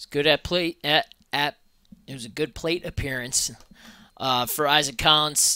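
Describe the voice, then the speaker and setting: Long, frequent pauses at a moderate pace. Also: quiet background, dry sound with no echo. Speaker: color commentator. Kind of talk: color commentary, analysis between pitches. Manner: conversational, laid-back analyst, a bit halting with filler words and repeats. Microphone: headset.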